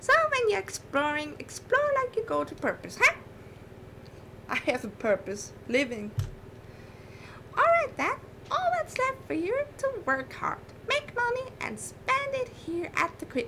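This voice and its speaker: Amid clear background noise, a put-on character voice moves at a moderate pace with very wide pitch swings and long, frequent pauses. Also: woman, extremely high pitch for a woman. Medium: virtual streamer. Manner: folksy, matter-of-fact.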